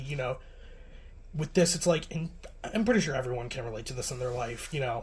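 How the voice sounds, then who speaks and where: Words come from a man at a very fast pace. His voice is somewhat breathy. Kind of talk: casual anime review talk. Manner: hesitant, rambling.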